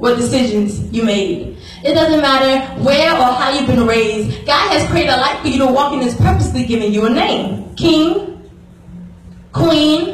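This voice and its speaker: Over light background noise and with audible room echo, a woman speaks at a high pitch and a fairly slow pace. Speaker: spoken word performer. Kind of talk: spoken word poetry performance. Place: church.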